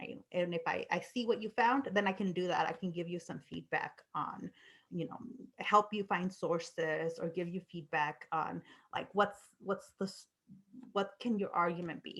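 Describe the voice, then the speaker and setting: With a non-native accent, a woman speaks at a moderate pace, her fairly low pitch showing ordinary variation. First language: not English. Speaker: university lecturer. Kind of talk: lecture. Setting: video call. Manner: halting.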